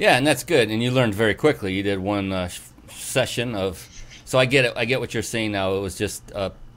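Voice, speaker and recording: A man with an ordinary speaking voice and an American accent talks at a fairly low pitch and a fairly quick pace, with ordinary pitch variation. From US West Coast. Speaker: show host. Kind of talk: interview.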